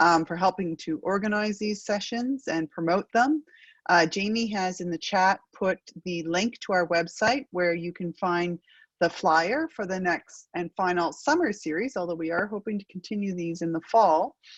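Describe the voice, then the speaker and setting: Against a quiet background, a woman talks at a moderate pace with ordinary pitch variation and a dry, close sound with no echo. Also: medium pitch for a woman. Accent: strong Acadian. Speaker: research network moderator. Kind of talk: panel webinar moderation.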